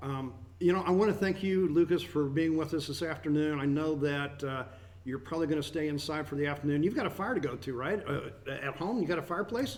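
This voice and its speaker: A man at a very fast pace and fairly high pitch, with ordinary pitch variation and audible room echo. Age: 50s. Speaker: radio host. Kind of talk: broadcast show chat.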